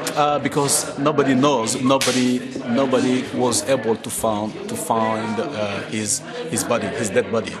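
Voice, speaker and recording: A man with a Malian accent speaks at medium pitch and a moderate pace with ordinary pitch variation, with noticeable background noise and audible room echo. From Mali, Bambara-speaking area. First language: Bambara. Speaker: project manager, master's student. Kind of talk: interview. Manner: hesitant, many fillers and repetitions.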